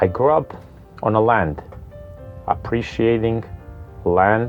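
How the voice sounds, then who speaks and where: With music in the background, a man with a Serbian accent speaks at a fairly slow pace and with ordinary pitch variation. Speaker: restaurant co-founder and general manager. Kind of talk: personal profile talk.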